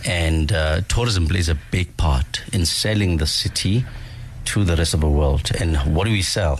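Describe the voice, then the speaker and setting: Noticeable background noise sits under a man's very deep, low voice. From South Africa, Soweto. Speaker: city councillor. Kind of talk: radio interview.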